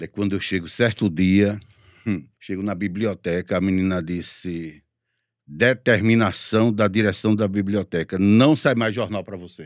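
An unremarkable speaking voice, a man with a fairly low pitch speaks at a moderate pace with ordinary pitch variation, his sound dry and close with no echo on a very clean recording with a silent background. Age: 50s. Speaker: radio announcer. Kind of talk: interview.

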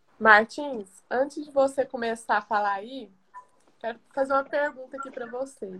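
A woman's raised, projected voice at a high pitch, with fairly even intonation, big swings in loudness and a moderate pace. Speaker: pharmacist. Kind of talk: live stream health talk. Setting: video call live stream.

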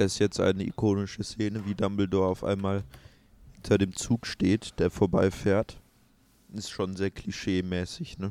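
A man with a dark, mellow tone and fairly low pitch speaks at a moderate pace in a monotone, flat delivery, recorded with a dry, close sound and no echo. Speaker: podcast co-host. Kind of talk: live film commentary, casual chat.

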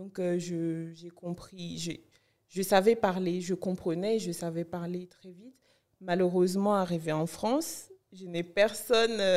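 Very slowly, a woman speaks in a medium-pitched voice with a dark, mellow tone and fairly even intonation. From Benin (Cotonou, north Benin). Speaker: blogger and content creator. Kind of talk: interview.

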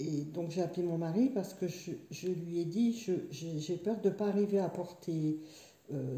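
The voice has a dark, mellow tone, somewhat breathy, with ordinary pitch variation. It moves at a fairly slow pace amid audible room echo. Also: woman. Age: 60s. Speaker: yoga student, stroke survivor. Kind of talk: personal testimony. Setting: her living room. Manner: halting, repetitive.

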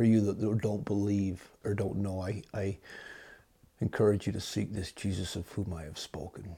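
The tone is dark and mellow and somewhat breathy, delivered at a moderate pace with fairly even intonation in a very clean recording over a silent background. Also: man, fairly low pitch for a man. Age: 40s. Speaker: podcast host. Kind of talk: religious monologue. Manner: hesitant with fillers.

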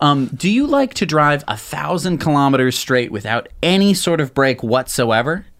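A man with an ordinary speaking voice, pitched fairly high, lively in intonation and moderate in pace. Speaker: tech news show co-host. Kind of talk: casual news chat.

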